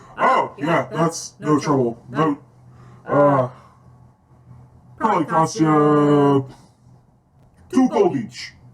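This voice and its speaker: A put-on character voice speaks at a very slow pace with long, frequent pauses. Its pitch is low-to-middle. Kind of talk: casual, helpful.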